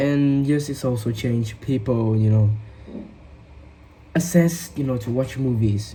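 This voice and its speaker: With a Vietnamese accent, the speaker moves at a fairly slow pace, leaving long, frequent pauses. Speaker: English learner. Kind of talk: speaking test practice. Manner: halting, many fillers.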